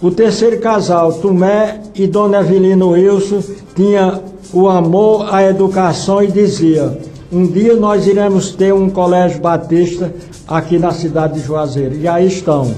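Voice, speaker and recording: A man speaks at a high pitch with fairly even intonation and a fairly slow pace. The room echo is audible, and there is noticeable background noise. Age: 80s+. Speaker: retired pastor. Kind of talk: radio interview.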